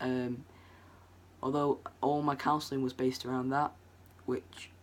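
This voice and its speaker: A man with a Lancashire accent, medium-pitched, at a moderate pace. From northwest England, Preston. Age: young. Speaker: vlogger. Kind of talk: personal story vlog. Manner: casual, hesitant with many ums.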